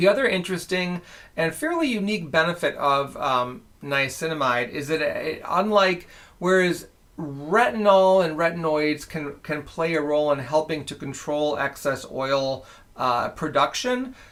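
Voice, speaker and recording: A man with a plain, everyday voice speaks at a moderate pace, his pitch fairly high with ordinary variation. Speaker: skin care research director. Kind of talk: educational livestream talk.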